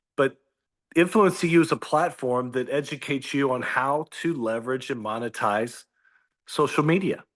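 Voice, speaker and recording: Against a quiet background, a man talks at a moderate pace in an ordinary speaking voice, pitched fairly high with ordinary pitch variation. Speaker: business coach. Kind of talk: video call presentation. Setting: video call.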